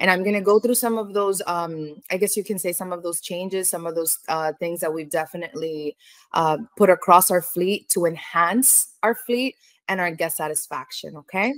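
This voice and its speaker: In an American accent, a woman speaks at a fairly low pitch with ordinary pitch variation and a moderate pace. The sound is dry and close, with no echo. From New York. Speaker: cruise line business development manager. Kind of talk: webinar presentation. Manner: animated.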